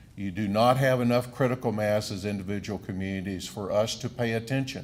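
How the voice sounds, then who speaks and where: A man with an American accent speaks at a fairly quick pace in a fairly low voice, his intonation fairly even, with audible room echo around him. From southern Wisconsin. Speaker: economic development official. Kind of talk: speech at podium. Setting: stage with audience.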